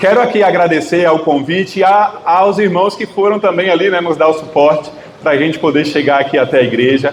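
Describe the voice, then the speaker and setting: Over noticeable background noise, a man talks fairly quickly in a fairly high voice with ordinary pitch variation. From Northeast Brazil, Bahia. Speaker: guest preacher. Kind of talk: sermon. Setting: church.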